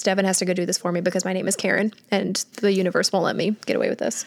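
A woman's medium-pitched voice at a very fast pace. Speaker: podcast host. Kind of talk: casual chat. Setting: video call.

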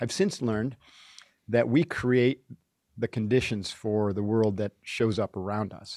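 A man with an American accent has a normal speaking voice at a medium pitch and a moderate pace. The recording is very clean, with a silent background and a dry, close sound with no echo. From upstate New York. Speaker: retired Navy SEAL and author. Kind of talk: interview.

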